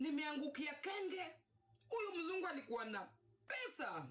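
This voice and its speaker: The speaker has a Kenyan accent and a moderate pace. The intonation is lively. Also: woman. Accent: Kenyan English, code-switching with Swahili. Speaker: vlogger telling her life story. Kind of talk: personal storytelling monologue. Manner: halting, repetitive false starts; animated.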